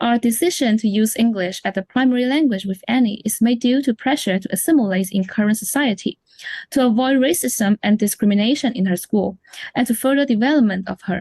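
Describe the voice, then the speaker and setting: A woman's fairly high, dark and mellow voice, fairly quick, with ordinary pitch variation. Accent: Chinese. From China. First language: Chinese. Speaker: parent. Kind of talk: scripted interview.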